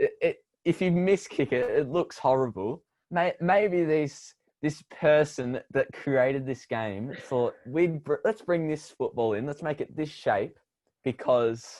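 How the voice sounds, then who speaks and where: A fairly high-pitched man's voice with lively intonation, at a fairly slow pace against a quiet background. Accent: Australian. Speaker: podcast co-host. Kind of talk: casual chat.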